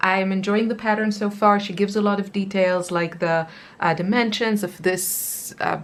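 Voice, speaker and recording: This woman speaks with a non-native accent. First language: not English. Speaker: crochet youtuber. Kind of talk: casual show-and-tell tutorial. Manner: casual, with many fillers.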